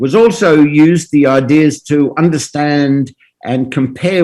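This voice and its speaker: An Australian-accented man at a fairly high pitch and fairly slow pace. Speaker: professor. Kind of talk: lecture. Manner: halting, many fillers.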